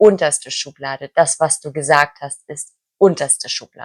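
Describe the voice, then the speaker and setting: A woman talks at a very slow pace, her pitch very deep and low. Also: dry, close sound with no echo. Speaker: German language teacher. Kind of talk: language lesson talk to camera.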